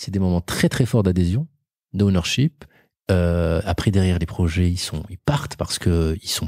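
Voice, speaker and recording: Heard in a very clean recording with a silent background, a man with a very deep, low voice and a dark, mellow tone speaks at a moderate pace with ordinary pitch variation. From Morocco. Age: 40s. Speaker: entrepreneur. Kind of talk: interview.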